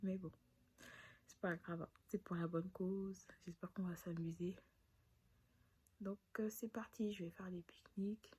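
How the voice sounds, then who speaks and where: Soft-spoken and somewhat breathy, a woman with a dark, mellow tone talks in a monotone, flat way with long, frequent pauses. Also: medium pitch for a woman, moderate pace. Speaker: vlogger. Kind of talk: casual vlog narration. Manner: hesitant, many fillers.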